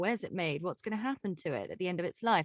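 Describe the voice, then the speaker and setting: A woman's voice with lively intonation, dry and close with no echo. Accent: slight English. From southern England (Reading, near London). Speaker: broadcaster and podcast host. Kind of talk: interview conversation.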